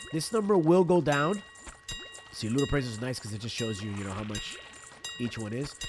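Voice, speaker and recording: Music plays behind a man speaking at a fairly quick pace. His tone is relaxed, yet his pitch swings very widely. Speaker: gaming video creator. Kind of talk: gameplay tutorial. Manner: casual, relaxed.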